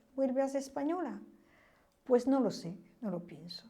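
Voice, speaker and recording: A woman's voice sits at a high pitch with a dark, mellow tone and ordinary pitch variation. Audible room echo can be heard. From France. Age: 70s. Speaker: witness of history. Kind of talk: testimony. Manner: halting.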